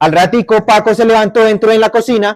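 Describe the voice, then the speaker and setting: A man with a Bogotá accent and a high pitch speaks at a fairly slow pace with fairly even intonation. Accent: Bogotá (rolo). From Bogotá area, Colombia. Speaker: storyteller. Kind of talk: oral storytelling.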